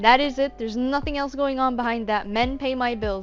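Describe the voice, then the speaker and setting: With music in the background, a woman speaks at a fairly high pitch. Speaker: voice actor. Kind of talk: tutorial. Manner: casual.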